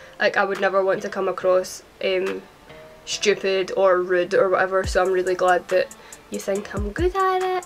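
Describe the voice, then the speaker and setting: A woman with a Scottish accent speaks fairly quickly at a medium pitch with fairly even intonation, music playing in the background. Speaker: YouTuber and singer. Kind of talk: casual Q&A talk to camera.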